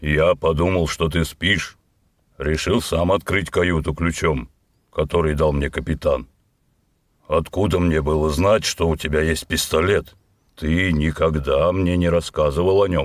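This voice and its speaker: A man puts on a character voice, very deep and low, with fairly even intonation. He moves at a moderate pace with long, frequent pauses. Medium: read story. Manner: plain-spoken, easygoing.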